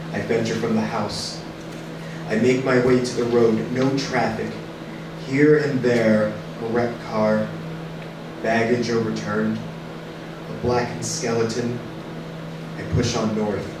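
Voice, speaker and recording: With long, frequent pauses, a man speaks at a fairly slow pace over noticeable background noise and audible room echo. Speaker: radio play narrator. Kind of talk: dramatic reading. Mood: grave, measured narration. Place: stage.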